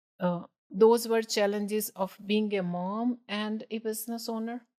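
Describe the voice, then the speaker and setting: A woman talks at a fairly slow pace in a monotone, flat intonation. The sound is dry and close, with no echo. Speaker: business owner. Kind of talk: podcast interview.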